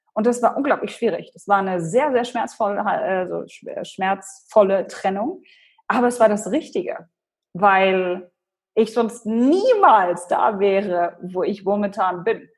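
Speaking very slowly with a Polish accent, a woman uses a medium pitch and ordinary pitch variation. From Germany, Hannover. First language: Polish (speaking German). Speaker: personal branding expert and speaker. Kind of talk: interview.

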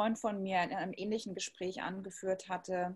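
A woman speaks in a medium-pitched, somewhat breathy voice with monotone, flat intonation. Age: 30s. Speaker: interviewer. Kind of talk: interview. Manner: formal.

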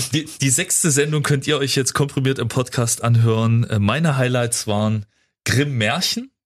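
At a moderate pace, a man with a somewhat breathy, medium-pitched voice speaks with ordinary pitch variation and very even loudness. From Erzgebirge, Saxony, eastern Germany. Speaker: radio host. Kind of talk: radio show chat. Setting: studio.

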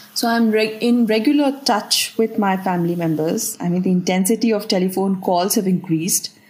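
Over noticeable background noise, a woman speaks at a fairly quick pace with hardly any pauses. Her medium pitch shows ordinary variation, and her loudness stays very even. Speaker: aid organisation worker. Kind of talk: interview. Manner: halting, searching for words.

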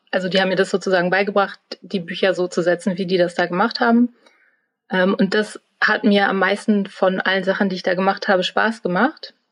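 With an ordinary speaking voice, this woman talks at a medium pitch, her loudness very even and her intonation fairly even. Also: fairly quick pace. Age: 30s. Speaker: trainee media designer. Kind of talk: interview.

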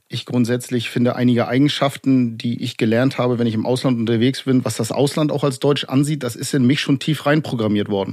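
An ordinary speaking voice at a fairly quick pace, with fairly even intonation, hardly any pauses and a very clean recording against a silent background. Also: man, medium pitch for a man. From Germany. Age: 40s. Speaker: former neo-Nazi, now exit counselor. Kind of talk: podcast interview.

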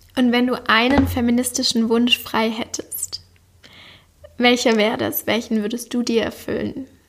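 A woman talks at a moderate pace in a high, flat monotone. Noticeable background noise sits behind her. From Swabia, Germany (Backnang near Stuttgart). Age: 20s. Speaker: podcast host. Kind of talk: interview.

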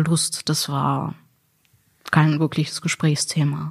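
A somewhat breathy woman's voice, very deep and low in pitch. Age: 30s. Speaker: sex worker. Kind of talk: interview.

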